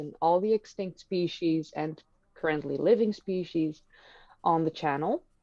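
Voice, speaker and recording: A woman with a Dutch accent speaks in a fairly low voice with ordinary pitch variation. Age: 30s. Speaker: history YouTuber. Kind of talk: live stream conversation. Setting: live stream.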